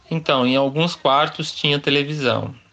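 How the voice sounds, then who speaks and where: At a fairly slow pace, a man with a fairly high pitch speaks in a normal speaking voice. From interior of São Paulo state, Pindamonhangaba. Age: 40s. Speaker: interviewee telling his life story. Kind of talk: life-story interview.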